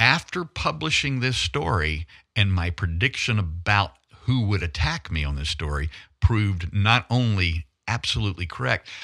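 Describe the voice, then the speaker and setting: Delivered with a Southern US accent, the voice has a bright, sharp tone and very wide pitch swings. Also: man, very clean recording, silent background. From US South, northern Louisiana. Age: 60s. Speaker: investigative photojournalist. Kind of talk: talk radio interview. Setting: studio.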